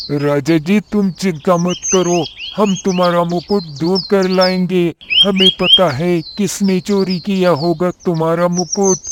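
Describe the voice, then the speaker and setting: The cartoonish character voice sits at a middle pitch and moves at a fairly slow pace. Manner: confident.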